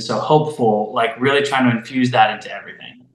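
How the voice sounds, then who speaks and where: A man's medium-pitched, plain, everyday voice with ordinary pitch variation. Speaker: voice actor. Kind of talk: interview answer. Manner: casual, conversational.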